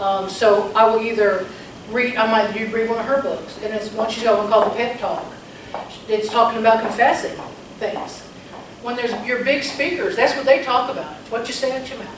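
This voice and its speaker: At a fairly quick pace, a woman with a fairly high pitch speaks through noticeable background noise and audible room echo. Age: 60s. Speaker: real estate agent. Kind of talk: interview. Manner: halting.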